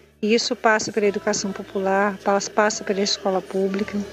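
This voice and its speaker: With music in the background, a woman talks at a medium pitch in a monotone, flat intonation. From Cariacica, Espírito Santo, Brazil. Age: 40s. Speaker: teacher and musician. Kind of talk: testimony.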